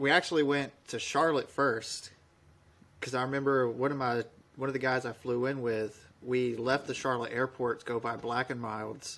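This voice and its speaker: The voice belongs to a man at a medium pitch. Monotone, flat intonation runs throughout. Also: moderate pace. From Alabama, US South. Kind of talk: casual chat, storytelling.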